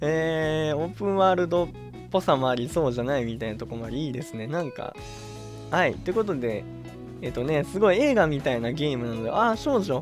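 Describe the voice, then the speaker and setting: The speaker moves at a fairly quick pace while music plays in the background. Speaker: game streamer. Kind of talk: casual let's-play commentary.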